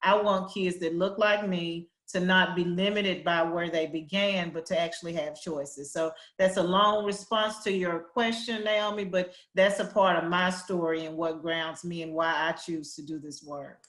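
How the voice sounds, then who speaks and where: A Southern US accent with fairly even intonation, hardly any pauses, big swings in loudness and audible room echo. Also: woman, fairly low pitch for a woman. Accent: Southern drawl. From US South, Arkansas Delta. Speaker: education policy executive. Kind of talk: panel discussion. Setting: virtual town hall.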